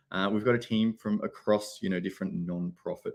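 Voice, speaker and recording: A man with an Australian accent, on a very clean recording with a silent background. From Australia, Sydney. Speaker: tech company CEO presenting at a conference. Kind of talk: conference presentation. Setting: conference stage.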